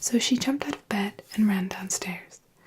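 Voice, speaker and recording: The voice is soft-spoken with a gentle tone. Noticeable background noise runs underneath. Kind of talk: fairy tale reading with character voices. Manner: soft-spoken, gentle.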